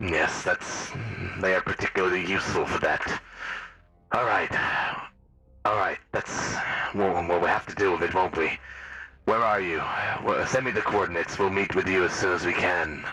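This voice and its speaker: Using a put-on character voice, very deep and low, a man speaks at a moderate pace with long, frequent pauses over music in the background. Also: fairly even intonation. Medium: actual play. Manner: measured, condescending.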